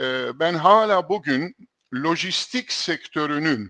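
Speaking very slowly in a fairly high, bright and sharp voice with lively intonation, a man is heard in dry, close sound with no echo and a quiet background. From Istanbul, Turkey. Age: 70s. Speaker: logistics executive and lecturer. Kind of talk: interview.

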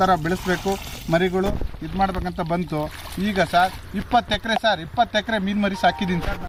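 Over noticeable background noise, a man talks with high pitch and fairly even intonation. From Shivamogga district, Karnataka. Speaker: fish farmer. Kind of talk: interview.

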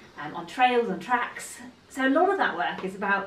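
A woman talks at a fairly quick pace amid audible room echo. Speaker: horse trainer. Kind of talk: casual vlog chat. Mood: cheerful, upbeat. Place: home room. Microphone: camera far.

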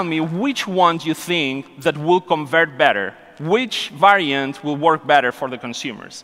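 A man talks at a fairly slow pace. His pitch is fairly high, and his tone is bright and sharp.

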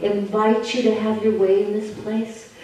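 A woman speaks at a moderate pace. Her voice has strong room echo and light background noise. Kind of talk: spoken prayer. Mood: fervent, emotional. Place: church.

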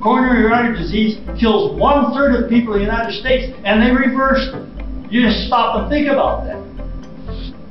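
With clear music in the background and audible room echo, a man talks at a moderate pace with hardly any pauses. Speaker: retired cardiothoracic surgeon and vegan diet advocate. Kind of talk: interview answer, earnest explanation of health research. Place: classroom. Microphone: camera far.

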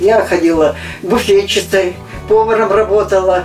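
A woman's voice carries audible room echo, with clear music in the background. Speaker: blogger, former ship cook. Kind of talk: interview answer. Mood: calm, reminiscing. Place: open country.

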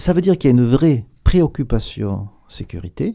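In a southern French accent, the speaker uses a dark, mellow tone with lively intonation. The pace is very slow over a quiet background. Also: man. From southern France. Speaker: aerospace company executive; guest. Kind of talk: radio interview. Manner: hesitant, many repetitions. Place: studio. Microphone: studio mic.

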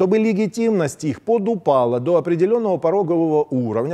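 A man with a fairly high pitch speaks at a fairly quick pace, his dark, mellow tone moving through very wide pitch swings against a quiet background. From Crimea. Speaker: TV political commentary host. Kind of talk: political commentary monologue. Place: studio.

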